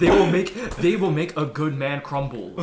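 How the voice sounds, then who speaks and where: Noticeable background noise sits under the recording. The man's delivery keeps a moderate speed. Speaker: podcast co-host. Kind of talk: casual chat.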